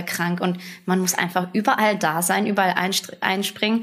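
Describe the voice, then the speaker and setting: A woman's medium pitch in monotone, flat intonation at a moderate pace. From western Germany, Bonn. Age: 20s. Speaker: food franchise owner. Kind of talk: casual interview.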